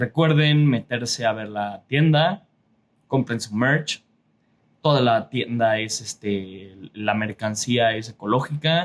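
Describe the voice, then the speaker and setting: Very slow speech from a man, ordinary in pitch variation. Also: medium pitch for a man. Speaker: artist and podcaster. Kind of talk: casual monologue. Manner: casual, frequent filler pauses.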